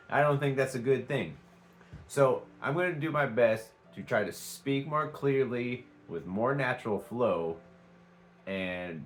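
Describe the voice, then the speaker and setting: Music plays in the background as a man speaks with lively intonation in an American accent. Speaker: vlogger. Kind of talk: casual vlog talk. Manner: halting, many fillers.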